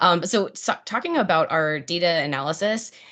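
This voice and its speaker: With an American accent, a woman talks with ordinary pitch variation against a quiet background. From US, Pittsburgh. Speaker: product marketing presenter. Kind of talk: product webinar presentation. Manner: animated, enthusiastic; many fillers (um, uh).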